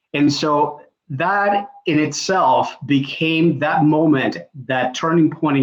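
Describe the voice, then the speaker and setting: A man with a Spanish accent, fairly high in pitch, with ordinary pitch variation. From Puerto Rico. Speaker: executive coach. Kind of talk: panel introduction.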